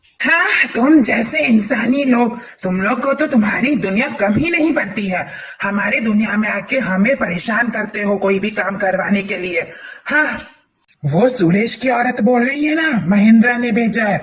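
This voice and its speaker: At a moderate pace, a man speaks in a high-pitched, cartoonish character voice. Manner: taunting, cackling.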